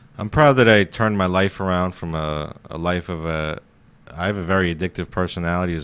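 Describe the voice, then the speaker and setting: On a very clean recording with a silent background, the voice proceeds at a moderate pace. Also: man. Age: 20s. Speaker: comedian. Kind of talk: casual chat.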